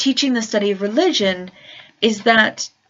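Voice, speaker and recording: A woman's voice at a fairly high pitch. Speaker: vlogger and religious studies teacher. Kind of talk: casual vlog monologue. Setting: at home in her room. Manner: hesitant, many fillers. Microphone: new laptop mic, better sound quality.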